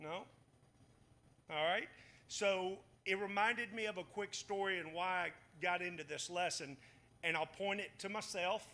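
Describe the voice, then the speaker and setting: The man's voice is high in pitch and bright and sharp in tone. He talks at a moderate pace. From US South, Batesville, Mississippi. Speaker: Bible study teacher. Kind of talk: Bible study lesson.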